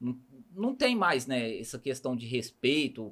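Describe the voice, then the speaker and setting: A man with a Minas Gerais accent, medium in pitch, at a moderate pace. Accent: Minas Gerais (mineiro). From Brazil, Barretos (São Paulo state) and a small town. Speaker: podcast host. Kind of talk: casual interview chat.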